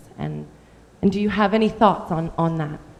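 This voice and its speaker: A woman speaks in an ordinary speaking voice. Her pace is moderate and her pitch variation ordinary. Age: 30s. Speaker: audience member asking a question. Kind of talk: Q&A question from the floor. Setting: post-screening panel with audience.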